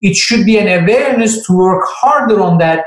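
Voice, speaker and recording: In a Turkish accent, a man speaks at a moderate pace with lively intonation and audible room echo. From Turkey. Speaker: finance professor. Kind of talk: Q&A talk on careers.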